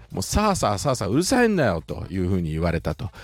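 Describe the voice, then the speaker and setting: A man with a fairly low pitch speaks at a very fast pace. His pitch swings very widely. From Shizuoka, Japan. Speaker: podcaster. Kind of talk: casual solo podcast explainer.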